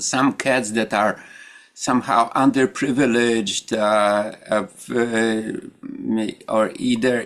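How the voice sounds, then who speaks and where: A man speaks with a Polish accent. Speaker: meditation group leader. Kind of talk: group discussion. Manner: halting.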